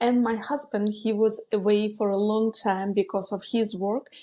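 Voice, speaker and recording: A woman with a Ukrainian accent has a fairly high voice with a dark, mellow tone, fairly even intonation and a moderate pace. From Ukraine. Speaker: business coach. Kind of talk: podcast interview. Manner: some hesitations.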